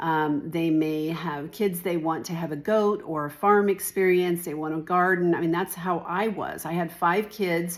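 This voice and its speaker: A woman's plain, everyday voice, fairly low in pitch, with fairly even intonation, a moderate pace and hardly any pauses. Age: 60s. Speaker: real estate agent. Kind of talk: informal talk-to-camera explainer. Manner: conversational, with fillers.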